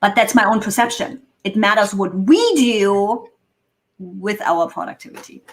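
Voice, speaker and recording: A woman speaks with a German accent at a fairly slow pace. Her voice sits at a medium pitch. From Germany. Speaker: productivity consultant. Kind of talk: casual chat.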